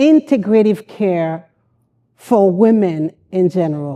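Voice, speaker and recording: A woman's dark, mellow tone at a medium pitch and a very slow pace. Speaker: mental health counselor. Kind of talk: conference talk. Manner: loud.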